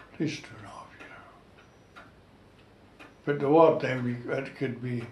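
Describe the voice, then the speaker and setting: A man with a North East Scottish accent and a fairly high pitch, fairly even intonation at a moderate pace, big swings in loudness, audible room echo and light background noise. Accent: North East Scotland dialect (Doric). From North East Scotland, Gourdon fishing village; North East Scotland. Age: 90s. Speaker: war veteran and retired fishing skipper. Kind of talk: oral history interview. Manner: halting, repeats words. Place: home room. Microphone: camera far.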